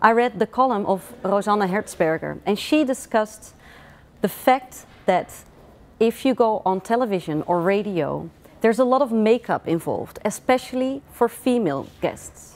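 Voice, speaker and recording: A woman speaks with a Dutch accent and lively intonation. Her loudness stays very even throughout. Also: fairly high pitch for a woman, moderate pace. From Netherlands. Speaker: author. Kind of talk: book presentation.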